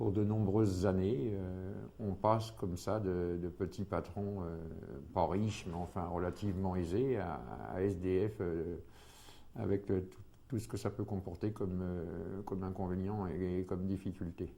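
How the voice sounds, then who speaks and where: A man talks with a very deep, low pitch. His pace is fairly slow and his intonation fairly even. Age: 60s. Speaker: former homeless man, retiree. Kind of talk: testimony. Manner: halting, many hesitations.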